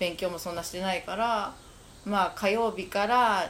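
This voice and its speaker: In an ordinary speaking voice, a woman talks at a moderate pace. Her pitch is medium, with ordinary variation. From Japan, Kamakura. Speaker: shop owner. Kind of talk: casual chat.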